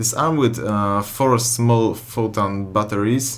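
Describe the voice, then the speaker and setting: A man talks at a very slow pace with fairly even intonation. There is audible room echo and noticeable background noise. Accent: Polish. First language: Polish. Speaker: gaming YouTuber. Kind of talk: gameplay commentary. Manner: halting, many fillers.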